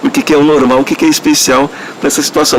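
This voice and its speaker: Noticeable noise sits in the background. Over it, a man speaks fairly quickly with lively intonation. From Brazilian Northeast. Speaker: interviewee in documentary. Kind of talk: testimony.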